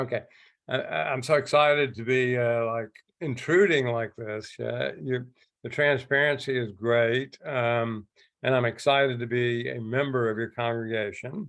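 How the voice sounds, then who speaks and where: A man with a Southern US accent talks at a moderate pace. His voice is medium-pitched, with ordinary pitch variation. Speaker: church member. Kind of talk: casual remarks. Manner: halting.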